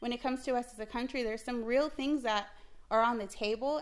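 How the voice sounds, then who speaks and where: A woman with an unremarkable speaking voice talks at a fairly quick pace with fairly even intonation in a very clean recording with a silent background. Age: 30s. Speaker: small business owner. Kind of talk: casual family chat.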